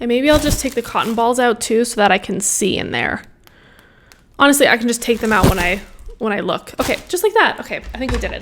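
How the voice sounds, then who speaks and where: A woman with a fairly high voice speaks at a very fast pace, her pitch varying in an ordinary way, with noticeable noise in the background. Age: 30s. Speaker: higher education worker. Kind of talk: casual talk to camera.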